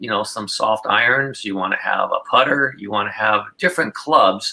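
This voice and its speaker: Speaking at a moderate pace, the man barely pauses at all. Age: 60s. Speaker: pickleball pro and coach. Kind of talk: casual interview. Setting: podcast.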